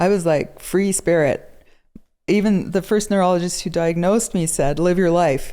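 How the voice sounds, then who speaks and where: A woman speaks at a moderate pace with a fairly low pitch, ordinary pitch variation, very even loudness and a dark, mellow tone. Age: 60s. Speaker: guest with multiple sclerosis. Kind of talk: interview.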